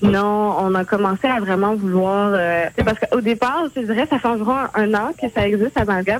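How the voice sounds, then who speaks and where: Against noticeable background noise, a woman speaks at a moderate pace in a medium pitch with ordinary pitch variation. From Quebec, Montreal and Terrebonne, Haitian family. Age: 20s. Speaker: blog contributor. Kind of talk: interview.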